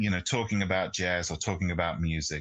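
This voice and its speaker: With a British accent, a man speaks in a bright, sharp tone against a quiet background. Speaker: jazz pianist and radio host. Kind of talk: interview. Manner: halting, many fillers.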